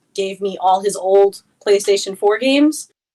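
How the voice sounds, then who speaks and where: A woman speaks with an American accent at a medium pitch. Her pace is fairly slow. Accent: New York accent, stronger when angry. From New York. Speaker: Twitch streamer. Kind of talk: casual interview chat.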